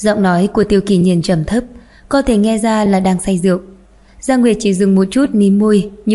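Fairly even intonation in plain reading aloud.

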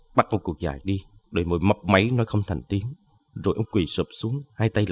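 The speaker has a natural reading voice. Pitch variation is ordinary.

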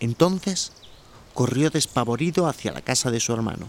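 With big pitch swings and vocal fry, a man talks at a moderate pace. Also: medium pitch for a man.

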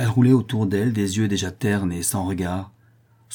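Someone reads a text out loud. The reading is plain.

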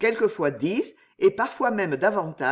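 Someone reads aloud here in a natural voice.

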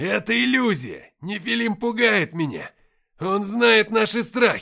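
In a put-on character voice, a man speaks at a fairly slow pace with a high pitch, big pitch swings, a bright, sharp tone and vocal fry, on a very clean recording with a silent background.

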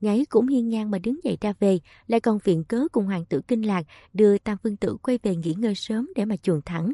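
This natural reading voice shows ordinary variation in pitch.

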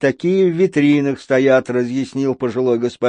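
The pitch moves in an ordinary way through a natural reading voice.

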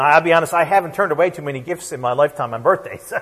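Against noticeable background noise, a man speaks very fast with ordinary pitch variation. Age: 40s. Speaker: pastor. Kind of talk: sermon. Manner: halting.

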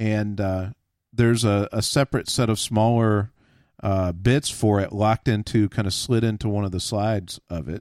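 A man with a normal speaking voice and an American accent, fairly low in pitch, fairly even intonation, moderate pace, dry, close sound with no echo and a very clean recording with a silent background. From Texas. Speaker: podcast host on tools. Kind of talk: casual chat.

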